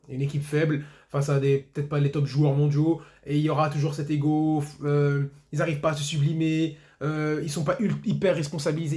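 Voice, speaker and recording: Very fast and somewhat breathy, a man delivers his words in a flat monotone, his dark, mellow tone set at a fairly high pitch. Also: big swings in loudness. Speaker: football YouTuber. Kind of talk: match debrief monologue.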